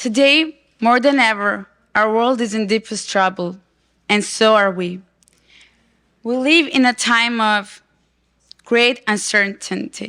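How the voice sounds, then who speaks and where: A woman's bright, sharp, fairly high-pitched voice at a very slow pace, with ordinary pitch variation and long, frequent pauses. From Armenia. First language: not English (English is third language). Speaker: activist presenter. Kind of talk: conference presentation.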